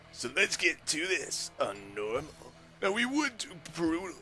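Putting on a cartoonish character voice, a man speaks fairly slowly at a fairly high pitch while clear music plays in the background. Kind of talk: comic cartoon impression, let's-play commentary. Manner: boastful, rowdy, excitable, slangy; loud yelling catchphrases.

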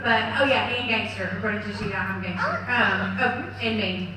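Noticeable background noise and strong room echo. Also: woman. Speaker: speaker. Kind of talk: personal testimony talk. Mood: warm, lightly joking. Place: church.

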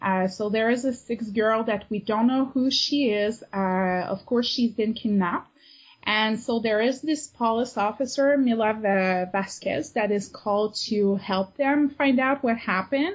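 The voice is somewhat breathy, with very even loudness and ordinary pitch variation. Its pace is fairly slow. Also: woman, fairly high pitch for a woman. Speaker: amateur novelist and avid reader. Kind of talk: casual interview.

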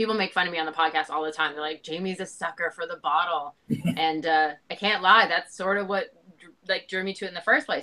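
At a very fast pace, a woman speaks at a fairly low pitch in a bright, sharp tone with ordinary pitch variation. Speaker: remote guest. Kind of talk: interview answer. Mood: chatty, amused. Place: home room. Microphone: video call.

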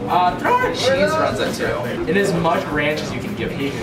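Clear music plays behind the voice. A man talks at a moderate pace over it. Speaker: food vlogger. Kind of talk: casual vlog chat. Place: cafe. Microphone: phone near.

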